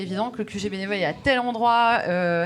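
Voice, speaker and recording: A woman talks at medium pitch. Her pitch varies in an ordinary way. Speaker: event organizer. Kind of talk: conference talk. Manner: fast.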